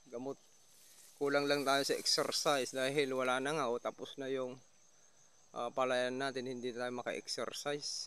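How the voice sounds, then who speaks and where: A man talks at a moderate pace with a medium pitch. His intonation stays monotone and flat. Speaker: rice farmer and farming vlogger. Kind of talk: field walkthrough vlog. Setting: outdoors in rice field. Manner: casual, conversational.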